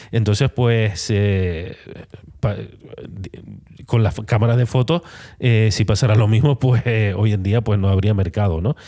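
Using a dark, mellow tone, a man speaks at a fairly slow pace with long, frequent pauses, ordinary pitch variation and very even loudness. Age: 40s. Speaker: photographer and podcast host. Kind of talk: solo podcast monologue. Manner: halting, many fillers and repetitions.

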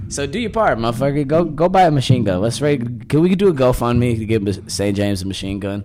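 Amid noticeable background noise, a man with a medium pitch speaks at a very fast pace with very wide pitch swings. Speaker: podcast co-host. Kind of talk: casual banter. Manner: joking, laid-back.

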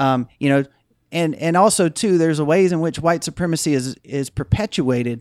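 The recording is very clean with a silent background, giving a dry, close sound with no echo. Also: man, fairly high pitch for a man, ordinary pitch variation, moderate pace. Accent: Mississippi. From US South, Jackson, Mississippi. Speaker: anti-racism nonprofit leader. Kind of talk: interview.

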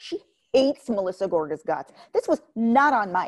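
The woman's voice sits fairly high. Her sound is close-miked and dry, without any echo. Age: 30s. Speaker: podcast host, pop culture commentator. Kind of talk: casual chat.

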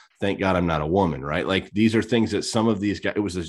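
On a very clean recording with a silent background, a man's voice is captured. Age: 30s. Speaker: podcast co-host. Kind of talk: casual chat.

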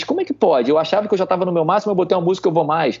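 A high-pitched, animated male voice amid noticeable background noise. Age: 40s. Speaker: army officer and amateur triathlete. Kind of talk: casual chat.

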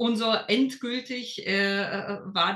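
Noticeable background noise is present as a woman talks with ordinary pitch variation. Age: 30s. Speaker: lawyer and former program participant. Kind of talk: interview. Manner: hesitant, many fillers.

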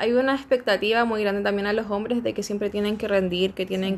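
A woman's ordinary speaking voice, medium in pitch, with fairly even intonation. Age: 20s. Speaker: sex shop owner. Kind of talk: casual chat. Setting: at a friend's home.

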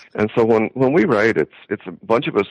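A man rattles off words at a very fast pace in a dry, close recording with no echo. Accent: American. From Ireland, County Wexford. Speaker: agricultural economist, professor. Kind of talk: interview. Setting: phone call.

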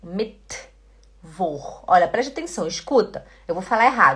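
Her voice is fairly high-pitched and somewhat breathy. The woman's pitch swings very widely. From Belém do Pará, northern Brazil. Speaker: German teacher. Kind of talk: online language lesson.

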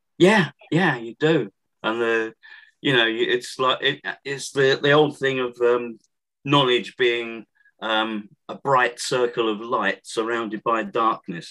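A man with a southern English accent speaks at a very slow pace. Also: medium pitch for a man, ordinary pitch variation. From Essex, southeast England. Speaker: author and historian. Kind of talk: interview. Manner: halting.

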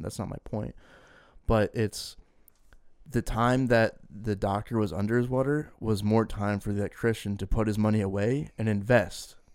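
This man has an ordinary speaking voice, fairly low in pitch, with fairly even intonation. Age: 20s. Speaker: podcast co-host. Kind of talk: casual chat.

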